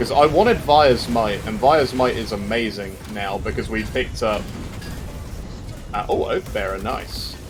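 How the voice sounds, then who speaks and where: A man with a British accent at a moderate pace, with music in the background and audible room echo. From Britain. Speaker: game streamer. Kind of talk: live gameplay commentary. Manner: casual, chatty.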